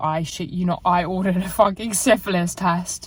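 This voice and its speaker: A woman with an English accent speaks at a moderate pace in a fairly low pitch. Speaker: fitness vlogger. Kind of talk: casual vlog. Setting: in a car. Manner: loud.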